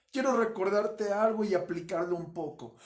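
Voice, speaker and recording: The speaker is a man. His voice is high-pitched. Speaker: pastor. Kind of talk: sermon.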